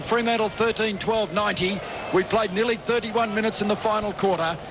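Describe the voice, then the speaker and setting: Over noticeable background noise, a high-pitched man talks at a fairly quick pace with fairly even intonation. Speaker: sports commentator. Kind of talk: radio sports commentary. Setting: radio broadcast.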